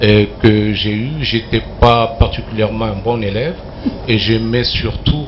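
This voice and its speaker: A man at a fairly slow pace, medium in pitch, over noticeable background noise. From Mali. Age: 60s. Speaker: journalist and columnist. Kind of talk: TV talk show interview. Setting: TV studio with live audience. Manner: hesitant, many fillers.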